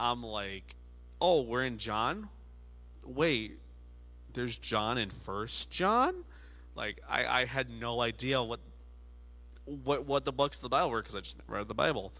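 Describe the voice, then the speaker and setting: A man talks at a fairly slow pace with long, frequent pauses. The recording is very clean, the background silent. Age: 20s. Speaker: pastor. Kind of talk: sermon. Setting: studio with camera, alone at a table. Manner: casual, halting with many fillers.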